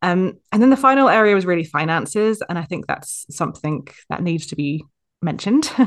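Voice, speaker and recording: Over a quiet background, a woman with a plain, everyday voice speaks at a fairly low pitch with lively intonation. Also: fairly quick pace. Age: 30s. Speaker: content writer. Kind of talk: casual chat.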